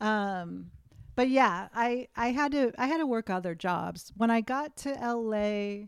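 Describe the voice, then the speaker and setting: A woman with an American accent speaks in a plain, everyday voice, fairly slowly and with lively intonation. The recording is very clean, with a silent background. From US Northeast, western Massachusetts. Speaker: author and filmmaker. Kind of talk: casual chat.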